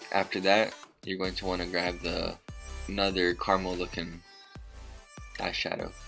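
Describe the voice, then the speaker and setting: A man speaks at a moderate pace in a very deep, low voice, with music playing in the background. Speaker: husband doing voiceover. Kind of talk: humorous makeup tutorial voiceover.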